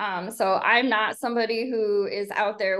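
A woman with an ordinary speaking voice, a moderate pace and fairly even intonation against a quiet background. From US Midwest, Chicago south suburbs. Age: 40s. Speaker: ultrarunner, educator. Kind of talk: casual interview chat.

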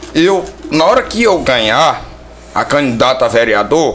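Amid noticeable background noise and audible room echo, a man speaks with a fairly high pitch. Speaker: local council pre-candidate. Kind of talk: casual chat. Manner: halting.

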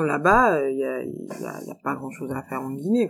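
A woman speaks with lively intonation. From France. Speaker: expat professional. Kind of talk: interview testimony. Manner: halting.

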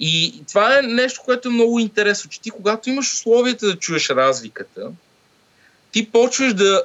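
This man's voice is extremely high. He speaks at a fairly slow pace. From Bulgaria. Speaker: sound engineer and lecturer. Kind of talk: casual interview.

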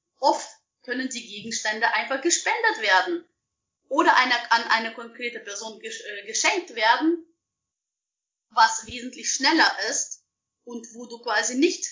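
A woman speaks with a Russian accent at a high pitch. Her intonation is lively and her pace fairly slow. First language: Russian (speaking German). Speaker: professional organizer. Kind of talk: interview. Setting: video call.

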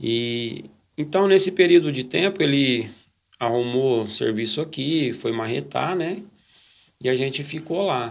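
A man at a medium pitch, fairly slow, with lively intonation and long, frequent pauses. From Brazil, interior of São Paulo state (Nuporanga/Brodowski). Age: 40s. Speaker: church lay worker. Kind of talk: testimony. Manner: halting, frequent fillers.

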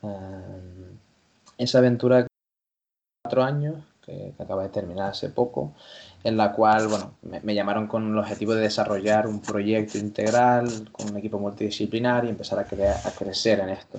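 Against a quiet background, a man speaks in a normal speaking voice, fairly low in pitch, at a moderate pace with fairly even intonation. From Canary Islands, La Palma. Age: young. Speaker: sports science lecturer and basketball coach. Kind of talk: interview.

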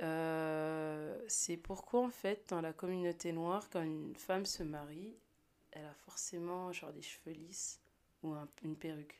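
In a very clean recording with a silent background, a woman talks in a plain, everyday voice at a fairly low pitch, with ordinary pitch variation, a fairly slow pace and big swings in loudness. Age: 20s. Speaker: podcast guest. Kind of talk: casual chat.

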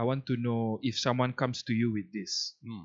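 The man's voice sits at a medium pitch. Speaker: podcast host. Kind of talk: casual chat.

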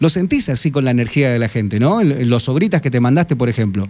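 Dark, mellow male voice with very wide swings in pitch. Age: 40s. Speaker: radio host. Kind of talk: radio interview. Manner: halting, many repetitions and fillers.

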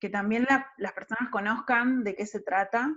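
Against a quiet background, this woman's pitch varies in an ordinary way. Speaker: podcast host. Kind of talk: interview. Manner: halting, many repetitions.

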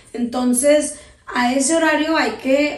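A woman is speaking with audible room echo. Noticeable background noise is also present. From Sinaloa, Mexico (raised), teen years in Tijuana. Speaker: radio host and producer. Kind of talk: interview.

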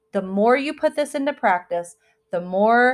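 Over a very clean recording with a silent background, a woman talks at a fairly slow pace in a normal speaking voice with lively intonation. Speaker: spirituality podcast host. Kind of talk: solo podcast monologue. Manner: casual, filler-heavy.

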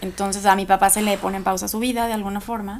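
At medium pitch and a moderate pace, a woman speaks with monotone, flat intonation. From Guadalajara, Mexico. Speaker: lawyer and entrepreneur. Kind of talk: casual interview chat.

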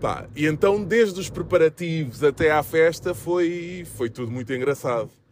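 A man talks with a European Portuguese accent in a fairly high pitch. His pace is fairly slow and his intonation lively. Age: 40s. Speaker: podcast host and handball coach. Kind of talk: casual solo monologue. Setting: recording while travelling to a game. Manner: hesitant, many fillers.

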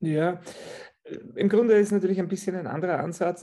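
A man speaks with a dark, mellow tone. His intonation is fairly even. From Austria. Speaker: physiotherapist. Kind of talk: interview.

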